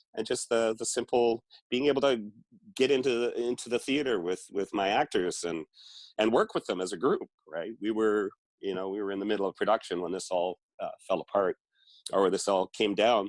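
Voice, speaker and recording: A man with a Canadian accent talks at a fairly quick pace, medium pitch and ordinary pitch variation, the sound dry and close with no echo. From western Canada (Victoria, British Columbia). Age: 60s. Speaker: theater writer and director. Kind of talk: interview. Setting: video call. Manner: halting, many fillers.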